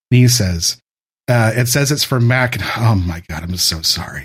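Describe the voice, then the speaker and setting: Somewhat breathy and lively in intonation, a man with an American accent speaks at a moderate pace. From US West Coast, San Francisco Bay Area. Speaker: former game tech support worker. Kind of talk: casual chat.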